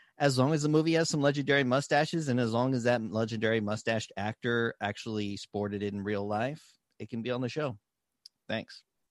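Dry and close with no echo, a man's unremarkable speaking voice at medium pitch moves at a fairly quick pace with ordinary pitch variation. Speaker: podcaster guest.

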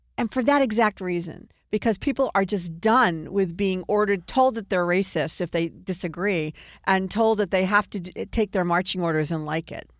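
A woman with an American accent and an ordinary speaking voice talks at a moderate pace and medium pitch with ordinary pitch variation, the sound dry and close with no echo in a very clean recording with a silent background. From Virginia. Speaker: political podcast host. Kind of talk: casual political commentary.

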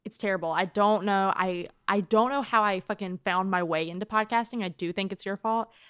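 An ordinary speaking voice, fairly quick and fairly even in intonation, with a dry, close sound with no echo on a very clean recording with a silent background. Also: woman, medium pitch for a woman. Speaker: podcast co-host. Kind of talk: casual banter between friends. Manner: joking, sarcastic, deadpan.

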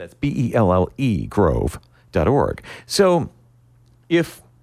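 Vocal fry colors this man's voice. The pitch swings very widely. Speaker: radio host. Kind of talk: radio interview. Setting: studio.

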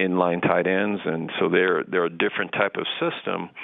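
A man with a very deep, low pitch speaks in a flat monotone at a moderate pace over noticeable background noise. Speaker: college football head coach. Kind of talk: radio interview. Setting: phone call.

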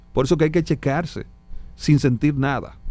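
With music in the background, a man of fairly high pitch talks at a moderate pace with ordinary pitch variation. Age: 50s. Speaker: doctor. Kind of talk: medical interview on radio.

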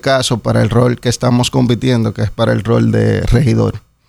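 A man with a Dominican accent speaks at a medium pitch. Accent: Dominican, remarked as sounding Puerto Rican. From Dominican Republic. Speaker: municipal council candidate. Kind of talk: radio interview. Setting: radio studio.

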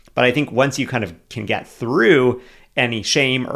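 Vocal fry marks a man's medium-pitched voice with an American accent at a moderate pace. The recording is very clean, the background silent. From California. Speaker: podcast co-host. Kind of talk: casual chat.

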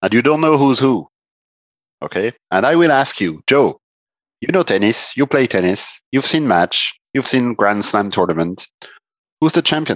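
Over a quiet background, a man with a French accent speaks at a medium pitch and moderate pace, with very wide pitch swings, very even loudness and long, frequent pauses, in a dry, close sound with no echo. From northeast France. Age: 50s. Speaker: performance management consultant, former tennis player. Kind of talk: podcast interview.

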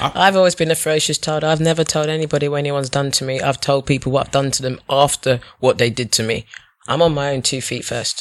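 A woman with a British accent speaks at a very fast pace. Her very deep, low voice keeps a fairly even intonation. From England. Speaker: tech worker. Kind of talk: casual chat.

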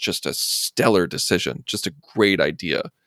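A man with an American accent is heard in a very clean recording with a silent background and a dry, close sound free of echo. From US Midwest, Urbana, Illinois. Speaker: film podcast co-host. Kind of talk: casual chat.

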